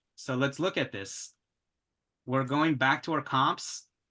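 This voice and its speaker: Against a quiet background, a man talks fairly slowly with a fairly high pitch and a bright, sharp tone. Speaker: real estate agent teaching investing. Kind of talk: tutorial.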